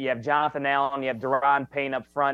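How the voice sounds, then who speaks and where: A man talks very fast with a fairly high pitch. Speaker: sports reporter. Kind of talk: casual sports talk interview.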